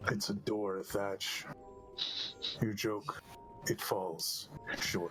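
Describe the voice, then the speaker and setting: Over clear background music, a man does a put-on character voice at a fairly low pitch and a very slow pace. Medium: actual play.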